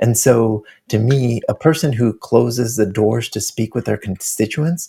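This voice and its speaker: Vocal fry runs through a man's medium-pitched voice, which has ordinary pitch variation. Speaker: activist guest. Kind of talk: interview. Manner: soft-spoken.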